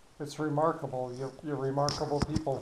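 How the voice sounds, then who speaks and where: The speaker has a New England accent. Audible room echo surrounds the voice. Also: man. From New Hampshire. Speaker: podcast host, former rehab hospital worker. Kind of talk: interview.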